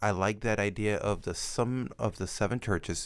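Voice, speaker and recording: A man with a fairly low pitch speaks with fairly even intonation in a very clean recording with a silent background. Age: 40s. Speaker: nurse practitioner, podcast co-host. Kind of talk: casual Bible study discussion.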